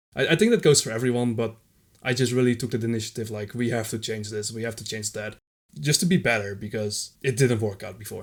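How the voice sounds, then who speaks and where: In a Dutch accent, the speaker goes at a very fast pace with fairly even intonation and big swings in loudness, on a very clean recording with a silent background. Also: man, medium pitch for a man. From Netherlands. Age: 20s. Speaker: retro gaming community volunteer. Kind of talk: podcast interview.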